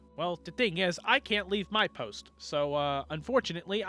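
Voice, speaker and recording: A man's put-on character voice, high in pitch. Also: moderate pace. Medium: actual play. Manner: stubborn, literal-minded.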